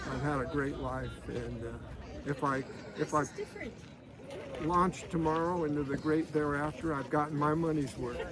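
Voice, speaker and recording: With long, frequent pauses and noticeable background noise, a man speaks at a moderate pace in a fairly high pitch, his intonation monotone and flat. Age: 70s. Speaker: van traveler. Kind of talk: interview. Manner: halting.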